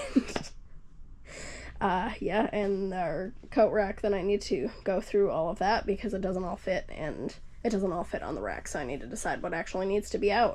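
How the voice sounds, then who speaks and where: A woman with vocal fry talks at a moderate pace with ordinary pitch variation. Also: medium pitch for a woman. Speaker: homesteading vlogger. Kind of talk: casual home tour vlog. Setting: at home.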